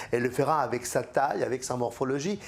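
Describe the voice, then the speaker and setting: The voice belongs to a man. It sits at medium pitch with ordinary pitch variation. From Argentina. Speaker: theatre director. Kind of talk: interview answer. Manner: halting.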